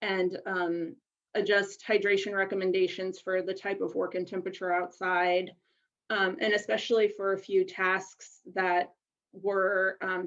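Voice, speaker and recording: With monotone, flat intonation, a woman speaks at a medium pitch and moderate pace. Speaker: researcher presenting study findings. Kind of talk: conference presentation.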